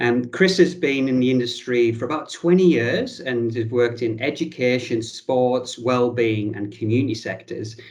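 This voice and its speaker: Speaking with a northern English accent, a man talks at a moderate pace with hardly any pauses, his medium pitch showing ordinary variation. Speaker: podcast host. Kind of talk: casual interview chat.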